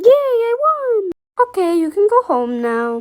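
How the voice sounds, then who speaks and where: A put-on character voice, squeaky and extremely high, swings very widely in pitch at a fairly slow pace. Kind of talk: casual amateur cartoon voice acting. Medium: cartoon. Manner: casual, offhand.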